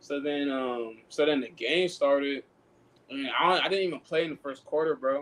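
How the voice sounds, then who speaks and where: In a plain, everyday voice, a man with an American accent speaks at a moderate pace, his pitch fairly high with ordinary variation. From Sacramento, California. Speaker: pro basketball player. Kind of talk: casual podcast chat.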